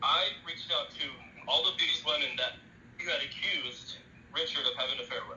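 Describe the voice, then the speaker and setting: Audible room echo surrounds a man's voice. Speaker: evangelist. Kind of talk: heated argument. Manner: fast.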